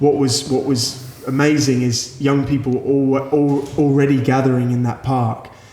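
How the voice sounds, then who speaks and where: With an Australian accent, a man speaks at a medium pitch and moderate pace in a monotone, flat intonation, with audible room echo and noticeable background noise. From Australia, Sydney. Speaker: youth pastor. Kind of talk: interview. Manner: halting.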